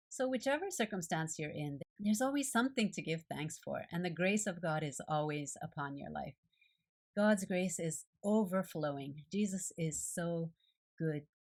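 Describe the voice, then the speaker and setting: With a Japanese accent, a woman speaks at a moderate pace in a fairly low, somewhat breathy voice with lively intonation. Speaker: art journaling video creator. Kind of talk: devotional reflection.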